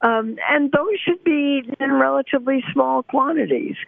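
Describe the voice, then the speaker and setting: A woman talks at a moderate pace. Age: 80s+. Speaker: nutritionist, professor. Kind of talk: interview answer.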